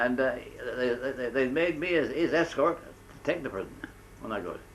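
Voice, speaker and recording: A man is speaking. His voice has vocal fry. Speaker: war veteran. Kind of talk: interview answer.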